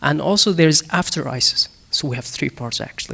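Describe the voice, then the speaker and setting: Man with a Kurdish accent at a moderate pace. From Syria, Damascus (Kurdish). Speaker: human-rights activist. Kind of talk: panel discussion. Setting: stage with audience. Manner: halting, many fillers and restarts.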